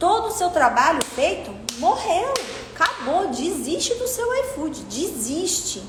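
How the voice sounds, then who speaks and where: Over noticeable background noise and audible room echo, the speaker sounds animated, with very wide pitch swings. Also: woman. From Brazil, Minas Gerais. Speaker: online course instructor for delivery businesses. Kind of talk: online class lecture.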